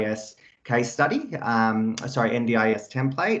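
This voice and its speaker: Against a quiet background, a man with an Australian accent talks at a medium pitch and a moderate pace. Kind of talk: webinar presentation.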